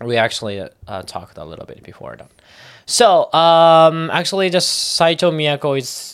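In a very clean recording with a silent background, a man with a Japanese accent speaks at a moderate pace with lively intonation. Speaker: anime podcast co-host. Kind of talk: casual chat. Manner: halting.

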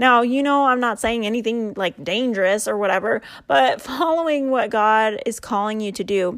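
A woman speaks in a normal speaking voice, her fairly high pitch moving with ordinary variation at a moderate pace. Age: 30s. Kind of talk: faith talk monologue. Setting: home recording at night. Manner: casual.

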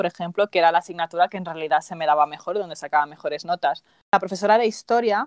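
A woman's very fast speech at a fairly low pitch, with ordinary pitch variation and a dry, close sound with no echo. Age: 20s. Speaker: podcast host. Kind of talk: casual chat.

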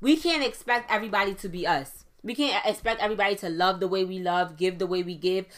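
Animated in tone, a woman races along at a very fast pace with lively intonation, a medium pitch and hardly any pauses, in a very clean recording with a silent background. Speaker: podcast host. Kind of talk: motivational solo talk. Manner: fast talker.

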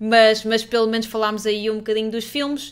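A woman is talking. Her voice sits fairly high. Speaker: streamer and podcast host. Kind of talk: casual live stream chat.

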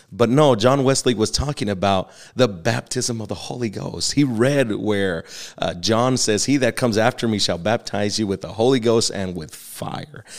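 Here a man speaks in an American accent with an unremarkable speaking voice. His pitch is medium with ordinary variation, and his pace is moderate. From Texas. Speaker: pastor. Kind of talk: teaching/interview on theology.

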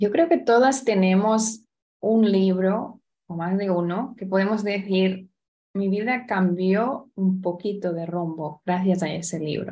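Very slow and somewhat breathy, a woman speaks at medium pitch with a dark, mellow tone and ordinary pitch variation. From Spain, Barcelona. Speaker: entrepreneur, women's business network founder. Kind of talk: interview.

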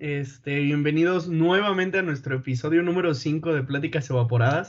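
A man speaks at a moderate pace with hardly any pauses, his pitch fairly high with ordinary variation. It is an ordinary speaking voice. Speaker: engineering student, podcast host. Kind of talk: casual chat.

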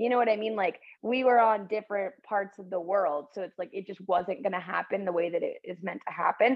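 In an ordinary speaking voice, a woman talks at a fairly quick pace with hardly any pauses, her medium pitch showing ordinary variation while her loudness swings widely. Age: 20s. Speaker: podcast co-host. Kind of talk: casual chat.

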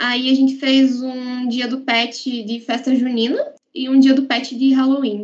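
A woman talks at a fairly slow pace in a high pitch, her intonation monotone and flat. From Paraná, Brazil (Guarapuava). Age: 20s. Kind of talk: podcast interview.

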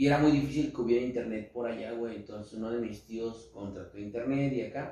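Somewhat breathy and dark, mellow in tone, a man talks at a fairly quick pace and medium pitch, his intonation fairly even but his loudness swinging widely. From central Mexico. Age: 20s. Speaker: rapper. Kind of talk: casual chat.

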